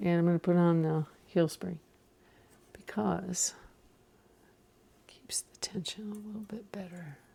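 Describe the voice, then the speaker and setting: Whispering at a fairly slow pace, a woman leaves long, frequent pauses and her loudness swings widely. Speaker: craft tutorial host. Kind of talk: tutorial. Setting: home studio.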